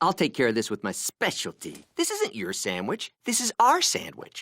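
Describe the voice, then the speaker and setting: The speaker performs a cartoonish character voice. The pace is moderate. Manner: loud, whiny, excitable.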